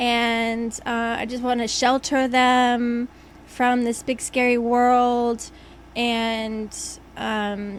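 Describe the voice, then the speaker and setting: Her intonation monotone and flat, a woman talks in a fairly high pitch. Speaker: podcast co-host, homeschooling mother. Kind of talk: casual chat. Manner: hesitant, many fillers.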